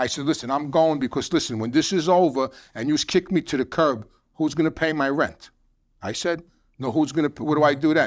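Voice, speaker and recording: The voice has a New York accent and a fairly quick pace. The recording is very clean with a silent background. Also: man, fairly high pitch for a man, ordinary pitch variation. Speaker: former mobster, addiction counselor. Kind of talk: casual chat.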